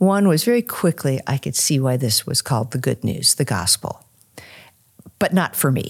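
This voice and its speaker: At a moderate pace, a woman with a very deep, low voice speaks with very wide pitch swings. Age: 60s. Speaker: author and former English professor. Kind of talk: interview conversation. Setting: recorded at a conference.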